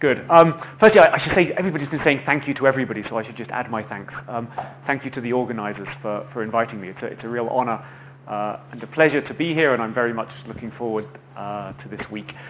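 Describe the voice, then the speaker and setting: Talking at a very fast pace with big swings in loudness, a man is heard with audible room echo and noticeable background noise. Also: medium pitch for a man, ordinary pitch variation. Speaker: physics lecturer. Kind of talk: lecture. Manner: halting, repeats words.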